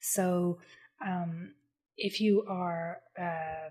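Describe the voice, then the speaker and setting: With an Irish accent, a woman speaks at a medium pitch with ordinary pitch variation. Her voice is somewhat breathy. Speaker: copywriter. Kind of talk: podcast interview answer.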